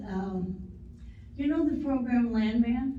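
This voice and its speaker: Noticeable background noise mixes with audible echo from the room. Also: woman. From US Great Plains, western Nebraska. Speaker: woman telling her life story. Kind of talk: life story talk. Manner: loud.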